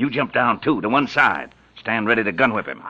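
A put-on character voice at a fairly quick pace, with lively intonation, a bright, sharp tone, and a slightly husky edge. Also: man, fairly low pitch for a man.

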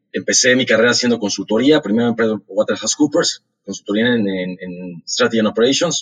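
With hardly any pauses, a man speaks at a moderate pace at a medium pitch, showing ordinary pitch variation. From Mexico, Mexico City. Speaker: startup founder and CEO. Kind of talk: interview. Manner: halting, frequent word repetitions.

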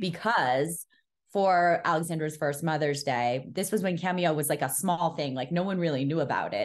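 Using a normal speaking voice with an American accent, a woman talks at a moderate pace with ordinary pitch variation and very even loudness. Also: fairly low pitch for a woman. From New York City. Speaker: podcast host, guest. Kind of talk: casual chat.

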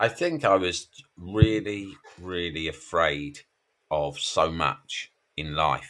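Very slowly and at a very deep, low pitch, a man talks with an English accent and ordinary pitch variation. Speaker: mental health author. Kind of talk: interview.

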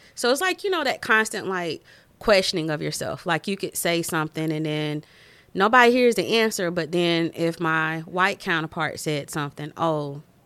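On a very clean recording against a silent background, a woman with a Southern US accent speaks at a moderate pace with ordinary pitch variation. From Winston-Salem, North Carolina. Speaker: engineer turned stay-at-home mom, school board candidate. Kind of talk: casual interview chat.

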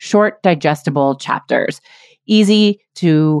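A woman with a fairly low pitch talks in a normal speaking voice with lively intonation, the sound dry and close with no echo. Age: 40s. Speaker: business coach and podcast host. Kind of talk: casual interview.

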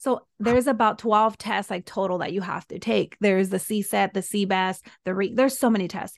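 A woman with a Spanish accent against a quiet background. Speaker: soul embodiment and breathwork coach, former teacher. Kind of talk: casual interview chat.

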